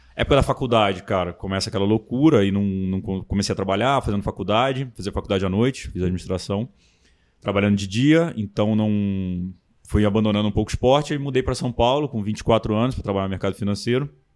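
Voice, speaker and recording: A man talks at a very fast pace in a Carioca accent. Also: fairly low pitch for a man, ordinary pitch variation. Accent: carioca-tinged, strong S. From Brasília, Brazil. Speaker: triathlon website owner. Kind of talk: casual chat.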